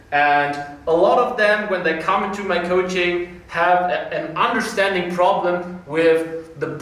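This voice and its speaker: Audible room echo surrounds a voice moving at a fairly slow pace with fairly even intonation. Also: man. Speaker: fitness coach. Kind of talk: tutorial. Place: gym.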